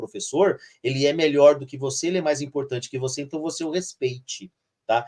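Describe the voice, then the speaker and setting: Somewhat breathy, a man talks at a fairly high pitch. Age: 50s. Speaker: teacher. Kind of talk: live stream conversation. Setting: live stream. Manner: frequent fillers like tá and né.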